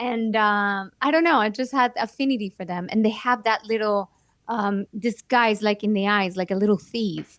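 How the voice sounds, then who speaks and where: A woman with a Spanish accent speaks at a fairly high pitch, her voice dry and close with no echo against a quiet background. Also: ordinary pitch variation, moderate pace. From Mexico. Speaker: actress and children's book author. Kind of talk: interview conversation.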